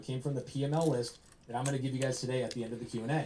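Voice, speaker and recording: A man's fairly high voice at a very fast pace amid noticeable background noise. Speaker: real estate investor and coach. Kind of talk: live presentation to audience. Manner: animated.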